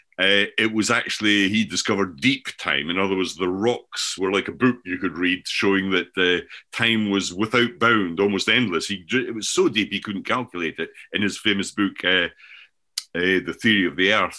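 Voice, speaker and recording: A man with a Scottish accent speaks at a moderate pace, his pitch fairly low and his intonation fairly even. His tone is bright and sharp on a very clean recording with a silent background. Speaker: professor and author. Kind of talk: casual discussion of ideas.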